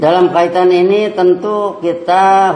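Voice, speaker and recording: A man with a West Javanese accent is heard with audible room echo and noticeable background noise. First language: Sundanese (speaking Indonesian). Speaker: preacher. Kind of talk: sermon. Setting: mosque.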